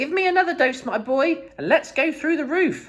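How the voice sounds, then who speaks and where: Shrill and high-pitched, a put-on character voice moves along at a moderate pace. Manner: eager, excited.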